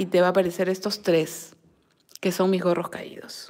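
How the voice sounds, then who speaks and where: A woman speaks over a quiet background. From Peru, Lima; Peru. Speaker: crochet and knitting teacher; knitting teacher. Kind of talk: live-stream tutorial and chat. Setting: live stream at a table. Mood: warm, affectionate. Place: home room. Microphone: phone near.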